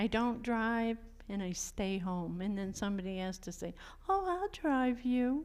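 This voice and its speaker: A woman with an American accent speaks at a fairly slow pace in a fairly high pitch with lively intonation, and audible room echo surrounds her voice. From Maine coast, US. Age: 70s. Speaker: retired fisherwoman. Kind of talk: interview. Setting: church, audience.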